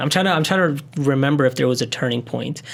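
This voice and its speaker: Here a man talks at a fairly quick pace in a medium pitch. His pitch varies in an ordinary way. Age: 20s. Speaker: wedding videographer and business owner. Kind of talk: podcast interview. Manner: casual with many fillers.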